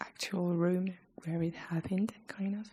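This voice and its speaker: Soft-spoken and somewhat breathy, a woman whispers. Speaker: ASMR creator. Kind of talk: ASMR chat video. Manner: whispered, soft-spoken.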